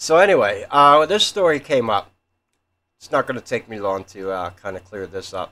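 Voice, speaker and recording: A man mumbling at a moderate pace in a fairly high, bright, sharp voice, with big swings in loudness and very wide pitch swings, on a very clean recording with a silent background. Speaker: conspiracy theory youtuber. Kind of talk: casual monologue.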